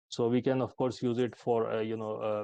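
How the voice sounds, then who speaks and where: A man speaks at a moderate pace in a monotone, flat manner, his voice fairly low with a dark, mellow tone. The sound is dry and close, with no echo. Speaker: AI expert speaker at healthcare conference. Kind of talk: conference presentation with demo.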